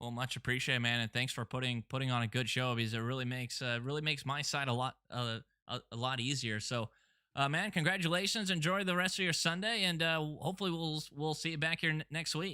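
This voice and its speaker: This man speaks very fast in a fairly high voice with lively intonation and a bright, sharp tone. The recording is very clean, with a silent background. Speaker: race broadcast commentator.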